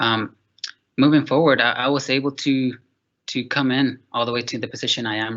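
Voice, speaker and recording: A man's bright, sharp voice moves at a fairly quick pace with fairly even intonation. The background is quiet. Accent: Spanish. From Mexico, then Texas. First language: Spanish. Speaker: park naturalist. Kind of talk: panel talk about career journey. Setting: video call. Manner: halting, many fillers.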